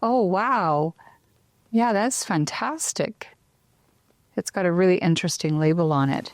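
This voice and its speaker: Medium-pitched female speech at a fairly slow pace, with lively intonation, very even loudness, and long, frequent pauses, in a dry, close sound with no echo and a very clean recording with a silent background. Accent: Canadian. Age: 50s. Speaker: talk show host. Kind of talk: casual chat.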